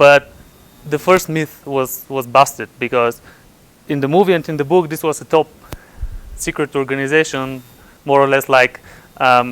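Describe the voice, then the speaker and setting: Fairly high-pitched speech from a man at a moderate pace, with fairly even intonation and a dry, close sound with no echo. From Bulgaria. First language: Bulgarian. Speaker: computer scientist at physics lab. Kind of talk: conference talk. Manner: halting, many repetitions.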